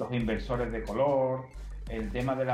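There is audible room echo and noticeable background noise. Through it, a man talks at a fairly quick pace. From Spain. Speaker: software engineer. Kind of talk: interview.

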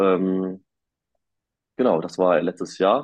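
A man's very deep, low-pitched voice. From northern Germany, near Münster. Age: 20s. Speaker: male model and student. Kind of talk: interview. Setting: remote call. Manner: halting, many fillers.

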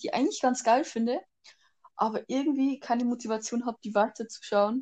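Fairly even intonation at a moderate pace. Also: woman. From Bavaria. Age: young. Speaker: podcast co-host. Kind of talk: casual chat. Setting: remote recording.

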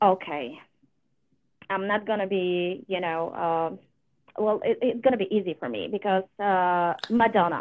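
With a Polish accent, a woman speaks at a medium pitch and fairly slow pace, using ordinary pitch variation and long, frequent pauses. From Poland. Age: 30s. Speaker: amateur singer, competition contestant. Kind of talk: interview.

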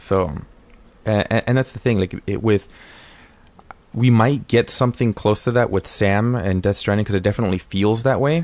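The speaker moves at a moderate pace with long, frequent pauses. Pitch varies in an ordinary way. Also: man, fairly low pitch for a man. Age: 20s. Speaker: podcast host. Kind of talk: casual chat. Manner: animated.

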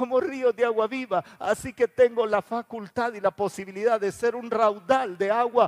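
A man speaks at a high pitch and a moderate pace, with ordinary pitch variation. The sound is dry and close, with no echo. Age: 60s. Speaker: pastor. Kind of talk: sermon.

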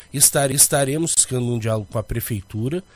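On a very clean recording with a silent background, a man speaks at a medium pitch and moderate pace in a somewhat breathy voice. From Rio Grande do Sul, Brazil (Canguçu). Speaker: state government adviser. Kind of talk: radio interview. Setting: radio studio.

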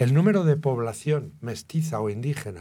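A somewhat breathy man at a medium pitch, dark and mellow in tone, with lively intonation. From Spain, Guadalajara. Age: 70s. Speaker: journalist and writer. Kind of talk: interview.

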